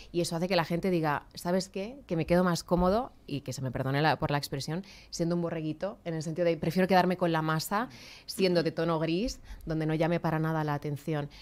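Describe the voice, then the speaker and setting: A woman talks at a very fast pace in a fairly low pitch. Her pitch variation is ordinary. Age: 30s. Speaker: communicator and public speaking trainer; public speaking trainer. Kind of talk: radio interview. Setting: radio/TV studio. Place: studio. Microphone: studio mic.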